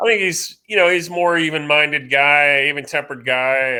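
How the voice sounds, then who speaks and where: A man is talking here. His accent is American. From New England, US. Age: 50s. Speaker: sports journalist. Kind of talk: casual interview. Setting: podcast. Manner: hesitant, many fillers.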